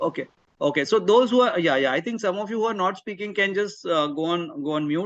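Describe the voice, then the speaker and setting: A man speaks with an Indian accent. His pace is fairly quick. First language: Marathi. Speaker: career mentor. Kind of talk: webinar talk. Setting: video call. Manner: animated.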